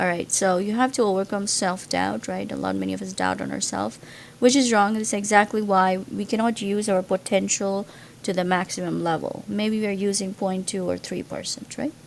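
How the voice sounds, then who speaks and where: The speaker has a Gujarati accent and talks at a fairly quick pace. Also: woman. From India, Gujarat. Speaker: pre-med student vlogger. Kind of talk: casual monologue to camera. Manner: hesitant, many fillers.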